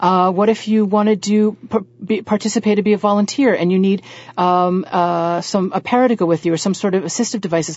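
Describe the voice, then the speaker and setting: A woman has an unremarkable speaking voice, medium in pitch, with fairly even intonation. She keeps a fairly quick pace and very even loudness. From US South. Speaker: social worker, former opera singer and voiceover artist. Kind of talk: radio interview.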